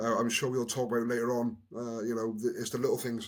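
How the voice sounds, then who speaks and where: With a Welsh accent, a man speaks at a fairly quick pace and medium pitch in a very clean recording with a silent background. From Wales, Newport. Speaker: former rugby player, community worker. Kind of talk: podcast interview, personal story. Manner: halting, many repeated words.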